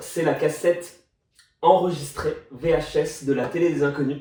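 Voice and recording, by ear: This man has a dark, mellow tone. Room echo is audible in the recording.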